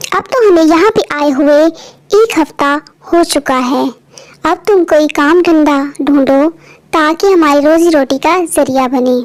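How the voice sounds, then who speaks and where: At a fairly slow pace, a cartoonish character voice holds very even loudness throughout. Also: woman, high pitch for a woman. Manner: earnest.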